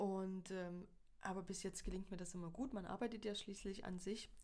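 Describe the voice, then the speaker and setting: A woman speaks with flat, monotone intonation. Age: 40s. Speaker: photographer. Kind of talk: casual interview chat.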